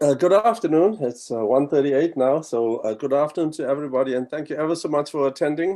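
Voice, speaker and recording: This voice has a dark, mellow tone and a South African accent. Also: man. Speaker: college provost. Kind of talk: welcome address. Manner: halting, many fillers.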